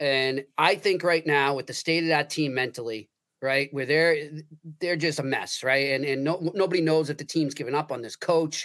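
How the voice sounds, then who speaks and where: Speaking with an American accent, a man has a plain, everyday voice at a fairly high pitch. He keeps a moderate pace and fairly even intonation. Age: 40s. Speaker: sports writer. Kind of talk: casual sports discussion.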